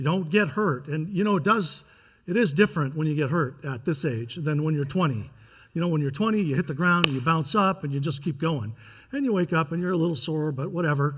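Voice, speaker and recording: On a very clean recording with a silent background, a man with an American accent talks at a very fast pace, his pitch swinging very widely. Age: 60s. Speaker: pastor. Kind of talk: sermon.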